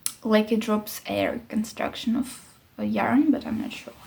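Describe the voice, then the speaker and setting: A woman's fairly high-pitched voice comes through noticeable background noise. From Ukraine. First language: not English (English is third language). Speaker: knitting podcaster. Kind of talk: casual monologue vlog. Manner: halting, searching for words.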